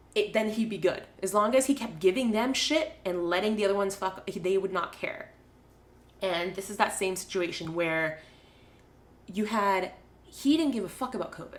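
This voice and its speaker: Noticeable background noise sits behind a woman speaking in an animated tone at a moderate pace with ordinary pitch variation. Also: medium pitch for a woman. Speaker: podcast co-host. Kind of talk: casual chat. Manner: animated, ranting.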